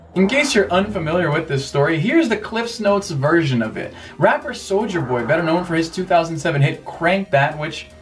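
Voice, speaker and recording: Over music in the background, a man with a high pitch talks at a fairly quick pace with lively intonation. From Brazil. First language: Portuguese. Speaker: YouTuber, tech and retro gaming commentator. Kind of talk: casual vlog commentary.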